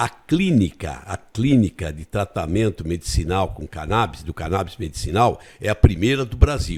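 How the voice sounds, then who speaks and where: A man with a very deep, low pitch and vocal fry swings very widely in pitch and shows big swings in loudness. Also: moderate pace, hardly any pauses. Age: 70s. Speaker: retired politician and teacher. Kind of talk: interview. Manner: halting, frequent repetitions.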